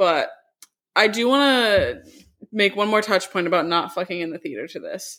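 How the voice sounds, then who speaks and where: A woman with a plain, everyday voice speaks at a moderate pace. Her pitch sits fairly high, and her intonation is lively. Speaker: podcast co-host. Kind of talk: casual chat.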